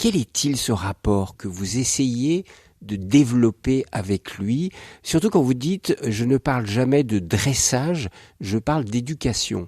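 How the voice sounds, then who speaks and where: On a very clean, dry, close recording with a silent background and no echo, a man of medium pitch speaks very slowly in a dark, mellow tone with lively intonation. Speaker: radio interviewer. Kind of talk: radio interview questions.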